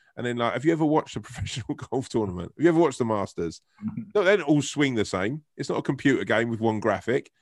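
A man with a southern English accent talks at a very fast pace in a medium pitch, his intonation lively and the sound dry and close with no echo. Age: 40s. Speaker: actor and comedian. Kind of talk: casual interview chat.

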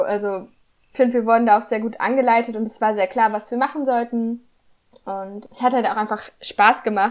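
At a fairly quick pace, a woman with a fairly high pitch speaks in a plain, everyday voice. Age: 20s. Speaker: student podcaster. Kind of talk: casual chat.

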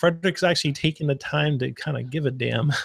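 The recording is very clean and the background silent. An unremarkable speaking voice keeps a moderate pace, with ordinary pitch variation. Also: man. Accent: American. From Arizona. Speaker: podcast co-host. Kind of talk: casual chat.

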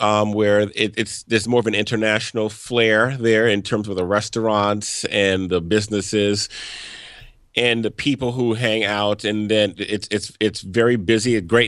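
The man's pitch is fairly low. He speaks in a monotone, flat way. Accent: American. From US South, Louisiana. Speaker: photographer and photo tour guide. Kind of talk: casual interview. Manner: halting, frequent repetitions.

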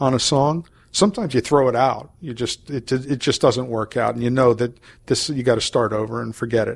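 Moderate pacing and ordinary pitch variation from a man, a plain, everyday voice at a medium pitch. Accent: American. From US, Maryland. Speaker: jazz saxophonist. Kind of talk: interview.

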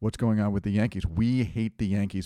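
On a very clean recording with a silent background, a dark, mellow voice speaks with an American accent. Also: man. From New England, US. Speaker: podcast host, teacher. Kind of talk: casual chat.

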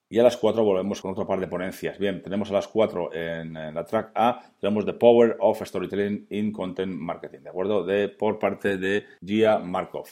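Using a plain, everyday voice, a man speaks at a moderate pace with hardly any pauses, fairly low pitch and fairly even intonation. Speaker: podcast host. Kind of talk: solo podcast monologue. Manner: casual, with frequent fillers.

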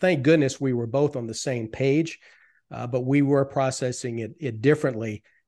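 Dark, mellow male voice over a quiet background. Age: 50s. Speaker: financial advisor. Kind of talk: interview.

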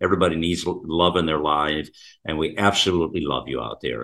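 A man's very deep, low voice with vocal fry and a bright, sharp tone, at a fairly quick pace with ordinary pitch variation, over a quiet background. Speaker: talk radio host. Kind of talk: talk radio conversation. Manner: rambling, many fillers.

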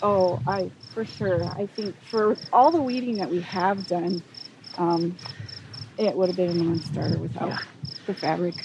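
Noticeable background noise accompanies a woman with an American accent and a fairly low pitch. She keeps a moderate pace and ordinary pitch variation, with long, frequent pauses. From Walla Walla Valley, eastern Washington/Oregon, US. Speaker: flower farmer. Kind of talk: casual interview. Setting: outdoors on a flower farm.

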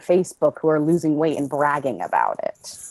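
A woman with an American accent speaks at a moderate pace in a very deep, low pitch with a dark, mellow tone. The sound is dry and close with no echo, and the background is quiet. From Boston area. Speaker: interview guest. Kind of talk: interview.

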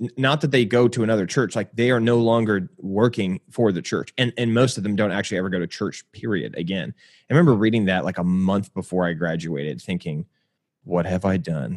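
Against a quiet background, a man with a plain, everyday voice and a fairly low pitch talks at a fairly quick pace with lively intonation, the sound dry and close with no echo. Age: 30s. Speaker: pastor. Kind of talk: casual chat.

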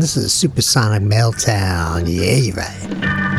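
A voice with an American accent and very wide pitch swings, over music in the background. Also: man. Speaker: radio host. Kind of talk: radio DJ patter, casual. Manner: laid-back, chatty, slangy.

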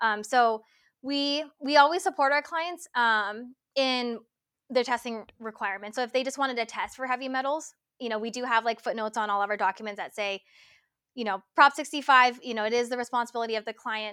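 A bright, sharp tone in a Californian accent, at a fairly quick pace with ordinary pitch variation, on a very clean recording with a silent background. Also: woman, high pitch for a woman. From Los Angeles, California. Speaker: supplement product developer. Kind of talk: interview.

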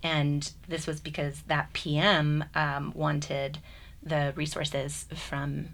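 A woman's very deep, low-pitched voice with vocal fry, fairly even intonation and an American accent. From US. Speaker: university program director. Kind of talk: radio panel discussion. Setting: studio.

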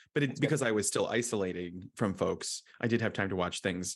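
A man talks very fast with an American accent. His pitch sits fairly low and varies in an ordinary way. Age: 40s. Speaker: podcast host. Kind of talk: casual chat. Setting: Philadelphia during tornado warning.

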